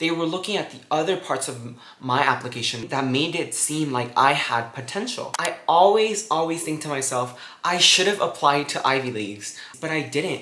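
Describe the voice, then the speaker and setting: The speech moves at a moderate pace with ordinary pitch variation, over audible room echo and noticeable background noise. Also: man. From Guatemala. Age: 20s. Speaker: student vlogger. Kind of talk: casual vlog advice.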